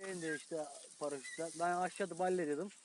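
This man has a high pitch and a Burdur accent, speaking at a fairly quick pace. Noticeable background noise runs behind him. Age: 30s. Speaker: farmer. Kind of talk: casual talk, filmed confrontation. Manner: joking, teasing.

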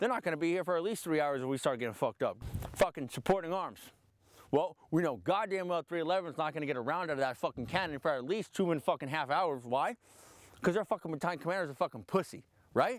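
Speaking very fast with lively intonation, a man is recorded with a dry, echo-free sound against a quiet background. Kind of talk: animated profane rant to a group. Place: open country.

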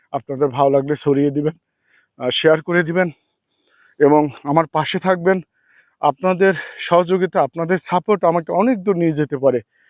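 A man talks at a high pitch with ordinary pitch variation. His loudness stays very even. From Kushtia, Bangladesh. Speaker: vlogger. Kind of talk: travel vlog monologue. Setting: outdoors on a river sandbank. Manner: halting.

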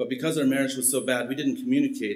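A man's voice at a very fast pace. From Mexico, Mennonite community. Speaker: missionary; preacher giving testimony. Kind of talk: testimony. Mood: earnest, personal. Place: church. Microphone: podium.

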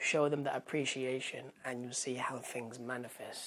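In a British accent, a woman talks at a moderate pace. Her pitch is very deep and low, and her intonation is monotone and flat. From UK. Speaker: vlogger and pop culture YouTuber. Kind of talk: casual vlog to camera. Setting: home, bedroom. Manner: rambling, many fillers. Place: home room. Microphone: phone near.

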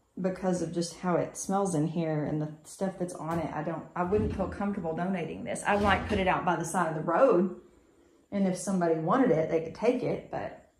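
In a room with audible echo, a woman with a fairly low pitch talks at a fairly quick pace with ordinary pitch variation. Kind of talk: casual walkthrough commentary. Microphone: phone near.

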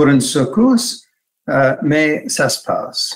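Over a quiet background, a man with a high pitch talks at a very slow pace, his pitch swinging very widely. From Canada. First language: English (speaking French). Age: 60s. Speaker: hand surgery professor. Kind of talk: webinar lecture; lecture. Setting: video call. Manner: halting.

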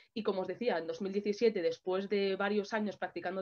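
A woman talks at a moderate pace, her intonation fairly even, against a quiet background. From Madrid, Spain; Spain. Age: 20s. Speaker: martial arts champion and anti-racism activist. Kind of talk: panel discussion. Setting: online video event. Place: home room. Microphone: webcam.

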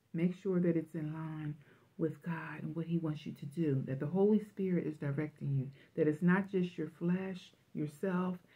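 Somewhat breathy, a woman speaks with fairly even intonation. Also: fairly low pitch for a woman, moderate pace. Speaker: religious vlogger. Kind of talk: prophetic message, sermon-like vlog talk. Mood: fervent, emotional. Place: home room. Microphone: phone near.

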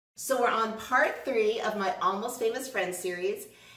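Moderately paced speech from a woman amid audible room echo. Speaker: cooking show host. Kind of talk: casual show hosting. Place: kitchen.

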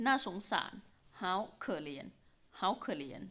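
A woman's very slow, lively-toned delivery in a very clean recording with a silent background. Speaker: language teacher. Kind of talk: language lesson drill. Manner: slow, deliberate repetition.

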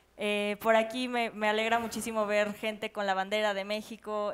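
A woman speaks with a fairly high pitch. Her intonation is flat and monotone. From Mexico. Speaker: community leader; panelist. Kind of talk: panel discussion. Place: stage.

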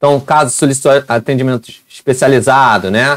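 A man talks at a medium pitch and a moderate pace. The sound is dry with no echo, and the background is quiet. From Rio de Janeiro, Brazil. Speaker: education youtuber. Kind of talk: tutorial. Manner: animated.

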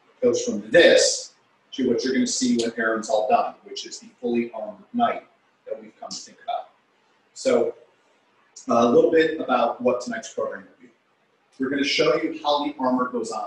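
A man speaks at a moderate pace with long, frequent pauses, and room echo is audible. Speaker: historical martial arts instructor. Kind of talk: lecture presentation. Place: hall. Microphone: video call.

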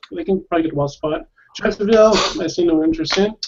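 Over light background noise, a man speaks at a high pitch with an American accent. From California. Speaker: football fan. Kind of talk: casual chat. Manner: hesitant, laughs often. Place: home room. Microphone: earbuds.

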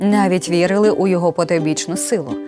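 Music plays in the background. A woman speaks at medium pitch and a moderate pace. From Hutsul region, Carpathians. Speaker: TV program host. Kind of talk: documentary storytelling narration.

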